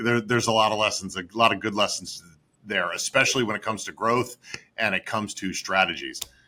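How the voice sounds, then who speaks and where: In an upstate New York accent, a man speaks at a very fast pace with a fairly low pitch. His tone is bright and sharp, and his intonation fairly even. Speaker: M&A advisor. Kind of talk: interview.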